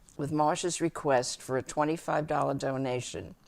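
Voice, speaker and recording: This woman's pitch is very deep and low, with ordinary variation. The recording is very clean, with a silent background. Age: 90s. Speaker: group psychotherapist giving a talk. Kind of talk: prepared speech. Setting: conference breakfast audience. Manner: formal.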